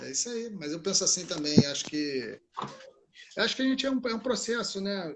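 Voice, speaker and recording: With a Brazilian accent, a man talks at a moderate pace using lively intonation. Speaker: jiu-jitsu instructor. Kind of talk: casual interview.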